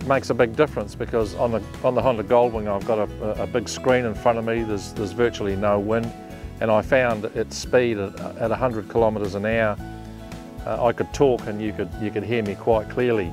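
Over clear music in the background, a man speaks at a fairly quick pace in a fairly low pitch. His pitch varies in an ordinary way, and the sound is dry with no echo. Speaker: motorcycle vlogger. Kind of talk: casual vlog chat. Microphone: lapel.

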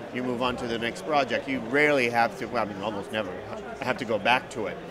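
Very fast speech comes from a man, with noticeable background noise behind it. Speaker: actor guest. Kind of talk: interview answer. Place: hall. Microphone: handheld.

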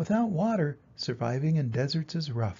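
A man's dark, mellow voice at a fairly high pitch, moderate in pace, with lively intonation

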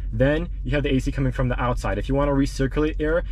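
A man is heard over light background noise, with a dry sound and no echo. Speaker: car owner reviewing a radio. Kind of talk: tutorial walkthrough. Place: car. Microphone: phone near.

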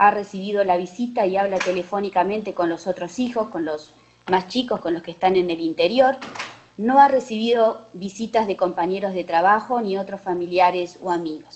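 With light background noise behind her, a woman has an unremarkable speaking voice, medium in pitch with ordinary pitch variation, at a moderate pace. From Uruguay. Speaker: oncologist; presenter. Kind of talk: case presentation. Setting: video call. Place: hall.

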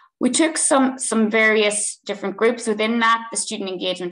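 A woman with an Irish accent and ordinary pitch variation, in a quiet background. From Ireland. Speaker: researcher and assistant professor; assistant professor. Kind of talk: academic webinar presentation. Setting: video call. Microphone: video call.

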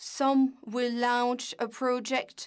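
Flat and monotone in intonation, a woman speaks at a high pitch. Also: quiet background. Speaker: simultaneous interpreter; panelist. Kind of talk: simultaneous interpretation. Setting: video call. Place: office.

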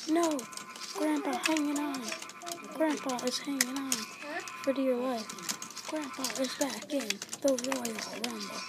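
A woman speaks very slowly in a high voice with ordinary pitch variation, leaving long, frequent pauses, with audible room echo and noticeable background noise. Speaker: gaming video creator. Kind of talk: let's play commentary. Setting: library. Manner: animated; talking quietly.

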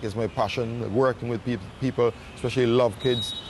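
Light background noise sits behind a man's voice with a dry sound and no echo. His intonation is fairly even. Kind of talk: interview answer. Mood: calm, reflective. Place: waterside.

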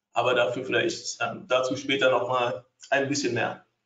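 This is a man speaking. His intonation is lively. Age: 30s. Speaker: trading educator. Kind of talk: webinar presentation. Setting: online webinar with screen sharing.

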